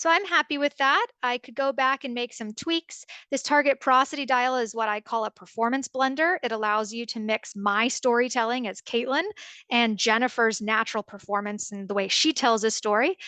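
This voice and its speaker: Speaking with an American accent, a woman has a high, bright, sharp voice, ordinary pitch variation and a moderate pace, recorded with a dry, close sound with no echo against a quiet background. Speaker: product demonstrator for AI voice software. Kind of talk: tutorial. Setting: webinar video call.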